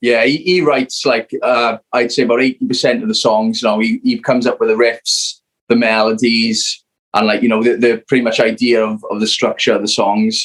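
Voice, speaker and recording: A man speaks at a fairly quick pace. The sound is dry and close, with no echo. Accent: South Wales. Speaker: rock band member. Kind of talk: casual interview chat. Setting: video call.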